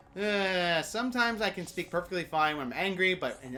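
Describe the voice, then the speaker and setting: Over background music, a woman with a fairly low pitch talks with lively intonation. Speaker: let's play gamer. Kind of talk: gameplay commentary. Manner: halting, stumbling over words.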